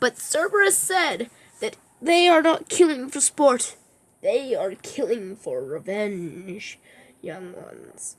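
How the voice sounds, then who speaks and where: Using a put-on character voice, the speaker talks at a fairly slow pace in a high pitch that makes very wide swings. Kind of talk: storytelling to children.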